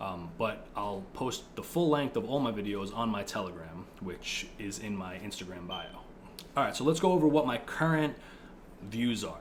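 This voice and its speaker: A man with an American accent speaks at a fairly low pitch with lively intonation. His moderate pace carries audible room echo. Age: 20s. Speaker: political video creator. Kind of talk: casual monologue. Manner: casual, filler-heavy.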